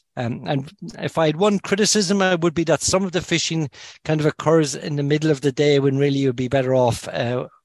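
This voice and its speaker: A fairly high-pitched man with a Cork accent at a fairly quick pace, ordinary pitch variation, and a dry, close sound with no echo. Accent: Cork Irish. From Ireland, Kinsale, County Cork. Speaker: fly angler, medical professional. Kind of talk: casual interview chat.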